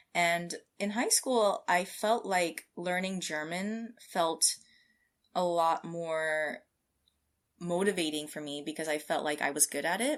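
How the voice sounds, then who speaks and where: At a fairly slow pace, a woman with an American accent and an unremarkable speaking voice speaks fairly low in pitch with ordinary pitch variation, on a very clean recording with a silent background. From California, US. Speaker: scientist. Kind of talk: interview.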